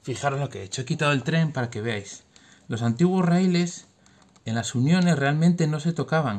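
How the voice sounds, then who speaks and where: A man's fairly high, somewhat breathy voice comes at a moderate pace, animated in tone with lively intonation. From Spain. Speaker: engineer parent explaining science to his children. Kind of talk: home science demonstration for kids. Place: home room. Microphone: phone near.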